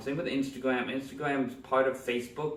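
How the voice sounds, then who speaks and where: Noticeable background noise and audible room echo fill the recording. A man talks at a fairly quick pace. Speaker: digital marketing trainer. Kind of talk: tutorial. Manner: fast.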